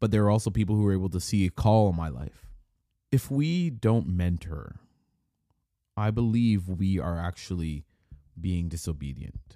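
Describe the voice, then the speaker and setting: A man with a very deep, low voice and a dark, mellow tone speaks at a moderate pace with lively intonation. Long, frequent pauses break up his speech on a very clean recording with a silent background. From Canada. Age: 30s. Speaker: pastor. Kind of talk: solo podcast monologue. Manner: casual, conversational.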